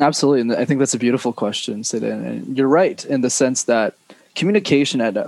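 With a Canadian accent and lively intonation, a man speaks in an ordinary speaking voice at a fairly high pitch. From Montreal, Canada. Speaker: public speaking coach. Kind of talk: interview conversation.

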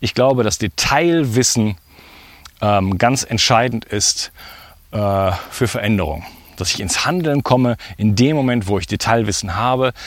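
Over noticeable background noise, a man with a medium pitch talks at a fairly slow pace, leaving long, frequent pauses. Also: lively intonation. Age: 40s. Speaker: health podcast host. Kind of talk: casual monologue. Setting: outdoors walking.

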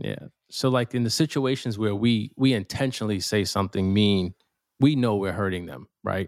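A man with an unremarkable speaking voice, fairly low in pitch with ordinary variation, at a moderate pace on a very clean recording with a silent background. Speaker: podcast co-host. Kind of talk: casual chat.

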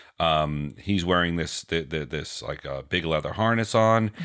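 A man with a New York accent speaks with ordinary pitch variation. The recording is very clean, with a silent background. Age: 40s. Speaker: podcast co-host.

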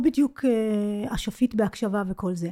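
A woman's fairly high, dark, mellow voice at a fairly slow pace. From Israel, child of English-speaking parents. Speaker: business English coach. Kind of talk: casual interview. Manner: halting, many false starts.

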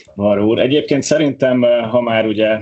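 At a moderate pace and with fairly even intonation, a man talks in an ordinary speaking voice. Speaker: portfolio manager, water polo player. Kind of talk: casual chat.

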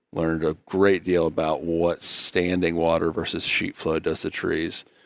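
In a very clean recording with a silent background, a man speaks in a very deep, low pitch with monotone, flat intonation. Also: dry, close sound with no echo. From Arkansas. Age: 30s. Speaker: state wildlife agency director. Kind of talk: casual chat.

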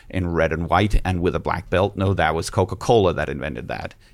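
This man's very deep, low voice carries vocal fry. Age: 40s. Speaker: fashion business owner and lecturer. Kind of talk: casual chat.

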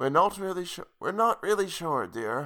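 In a very clean recording with a silent background, a man uses a put-on character voice pitched high.

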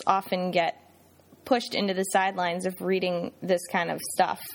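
She has an unremarkable speaking voice, pitched in the middle range. Her delivery is neither fast nor slow. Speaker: co-host essayist and radio personality. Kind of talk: casual banter podcast chat.

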